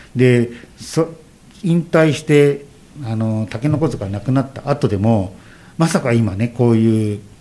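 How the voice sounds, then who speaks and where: Taking his time at a fairly slow pace, a man speaks in a dark, mellow tone. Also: medium pitch for a man, ordinary pitch variation. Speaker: former street dance group leader. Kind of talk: radio interview. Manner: halting.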